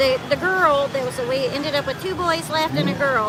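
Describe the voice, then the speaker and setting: A woman with an American accent talks at a moderate pace in a high, raised, projected voice. Audible room echo and noticeable background noise surround her. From southeastern Kentucky. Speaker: homesteader. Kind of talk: casual chat.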